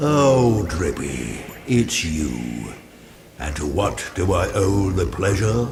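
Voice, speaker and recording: In a put-on character voice, a man speaks very slowly at a very deep, low pitch with very wide pitch swings, while background noise is clearly audible. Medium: video game. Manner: slow, dignified, mildly reproachful.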